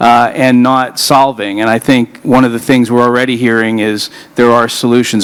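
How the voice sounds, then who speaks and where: With an American accent, a man talks while noticeable background noise carries on. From Colorado, US. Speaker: panel moderator. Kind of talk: panel moderation. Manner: hesitant, many fillers.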